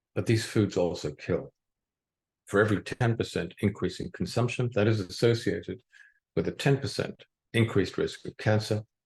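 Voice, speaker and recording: A somewhat breathy man at a moderate pace, fairly low in pitch, with a dry, close sound and no echo. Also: ordinary pitch variation, quiet background. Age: 70s. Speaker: doctor giving a health talk. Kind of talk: lecture. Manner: formal.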